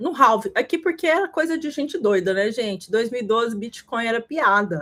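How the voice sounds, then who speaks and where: Her fairly high voice swinging very widely in pitch, a woman speaks. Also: moderate pace. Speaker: crypto market analyst. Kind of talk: livestream market analysis. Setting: live stream.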